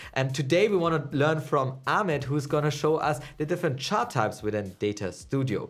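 This man speaks at a fairly quick pace. His pitch varies in an ordinary way. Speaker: channel host. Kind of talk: casual vlog intro. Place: studio.

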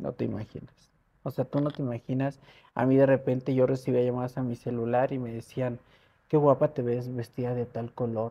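With a Mexico City accent, a woman speaks at a very deep, low pitch in a dark, mellow tone. Her intonation is monotone and flat at a moderate pace. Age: 60s. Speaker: model and media personality; interview guest. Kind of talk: interview. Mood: personal life story, earnest. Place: home room. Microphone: lapel.

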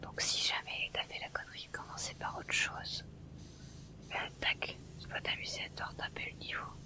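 Whispering at a moderate pace, with long, frequent pauses. The tone is relaxed. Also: woman. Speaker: ASMR streamer and gamer. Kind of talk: ASMR whispered gameplay commentary, live stream excerpt. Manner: soft, whispered, relaxed.

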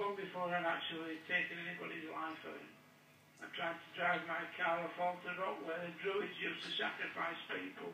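A man talks with a high pitch and monotone, flat intonation at a moderate pace. Noticeable background noise runs underneath. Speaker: prison inmate. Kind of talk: recorded phone conversation. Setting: phone line.

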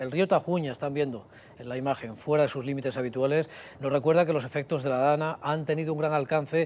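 The man's intonation is fairly even. He moves along at a fairly quick pace. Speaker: news presenter. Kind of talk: news presentation. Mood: sober, serious. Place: studio. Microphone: lapel.

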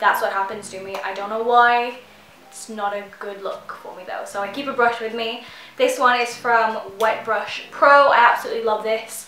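A woman's voice carries audible room echo along with light background noise. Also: fairly even intonation, moderate pace. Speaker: beauty vlogger. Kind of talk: casual vlog chat. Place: home room.

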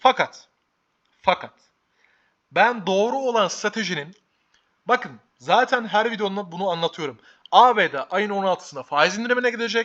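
A raised, projected voice, bright and sharp, animated in tone, with lively intonation at a moderate pace. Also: man. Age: 20s. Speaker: stock market youtuber. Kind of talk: market commentary vlog.

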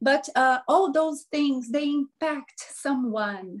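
Speaking very slowly, a woman with a Portuguese accent uses lively intonation over a quiet background. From Brazil. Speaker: life coach. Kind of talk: interview. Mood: cheerful, animated. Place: home room. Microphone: video call.

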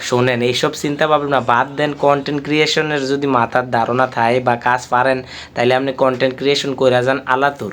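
Against noticeable background noise, a man talks at a medium pitch with very even loudness and monotone, flat intonation. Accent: Comilla. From Bangladesh, Comilla. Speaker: vlogger. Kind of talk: motivational talk to camera. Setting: indoors, sitting on a bed in his room.

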